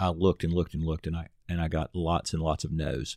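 A man's voice comes through on a very clean recording with a silent background, sounding dry and close with no echo. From US South, Nashville, Tennessee. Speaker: pastor. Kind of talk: casual chat.

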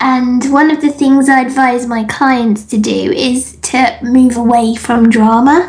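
A woman with an English accent speaks very slowly at a high pitch. Noticeable background noise can be heard. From England. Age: 30s. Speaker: business coach. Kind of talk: interview. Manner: laughs often.

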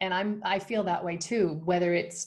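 A woman speaks with a Canadian accent in a plain, everyday voice. Her pitch is medium and her intonation fairly even. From Canada. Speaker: founder of a motherhood community. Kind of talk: interview.

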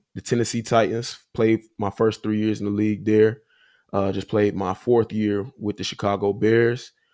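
In an American accent, a man speaks at a moderate pace in a fairly low, monotone, flat voice on a very clean recording with a silent background. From US South, Huntsville, Alabama. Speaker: pro football player and podcast host. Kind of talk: casual interview.

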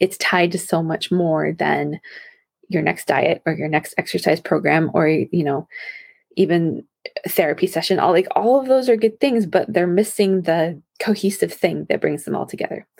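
In a dry, close recording with no echo, a woman with a fairly low pitch and vocal fry talks at a moderate pace with ordinary pitch variation. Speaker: women's health coach and podcast host. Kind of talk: solo podcast talk. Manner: soft-spoken; animated.

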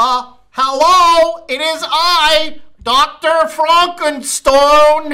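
Someone uses a put-on character voice, pitched high and delivered at a very slow pace. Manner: theatrical, grand announcement.

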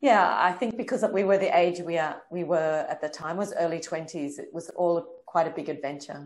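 The woman's voice is fairly low in pitch and comes with an Australian accent. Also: ordinary pitch variation, moderate pace. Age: 50s. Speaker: director and choreographer. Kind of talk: interview.

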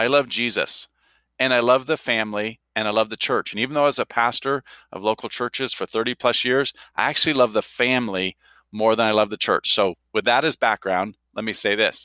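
A bright, sharp tone at a fairly quick pace comes through in a dry, close sound with no echo, on a very clean recording with a silent background. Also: man, medium pitch for a man. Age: 50s. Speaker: university president. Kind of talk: casual chat. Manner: animated.

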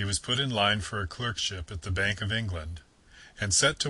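An unforced reading voice delivers the words with ordinary pitch variation.

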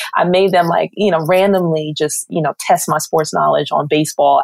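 Someone with an American accent speaks at a fairly quick pace with hardly any pauses and very even loudness, in a dry, close sound with no echo, over noticeable background noise. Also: woman. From New York. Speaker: TV sports producer. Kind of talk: interview. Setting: podcast.

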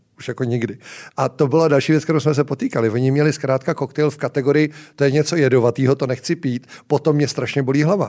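A man speaks at a very fast pace in a dark, mellow tone. His pitch is fairly high and his intonation fairly even. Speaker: bar owner and founder. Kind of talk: casual interview chat.

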